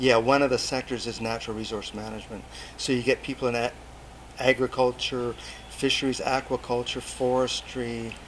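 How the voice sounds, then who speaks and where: The speaker has a British Columbian accent and a monotone, flat intonation. The pace is fairly quick. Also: man, medium pitch for a man. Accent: Canadian (British Columbia). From Canada, Port Alberni, British Columbia. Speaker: overseas development volunteer, agriculture teacher. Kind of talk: interview.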